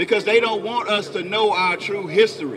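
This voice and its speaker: An animated voice with very wide pitch swings moves at a moderate pace over noticeable background noise. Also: man. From Memphis, Tennessee; Tennessee. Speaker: street preacher. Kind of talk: street preaching with scripture reading. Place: street. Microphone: handheld.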